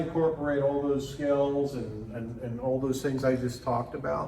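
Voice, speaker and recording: A man with a fairly high pitch speaks amid audible room echo and noticeable background noise. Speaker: music teacher and clinician. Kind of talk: lecture.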